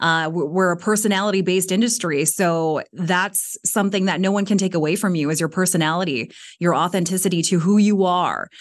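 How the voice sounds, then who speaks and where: Talking fairly quickly with hardly any pauses, a woman uses a plain, everyday voice at a medium pitch, her loudness very even against a quiet background. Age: 30s. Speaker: former podcast producer. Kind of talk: casual chat.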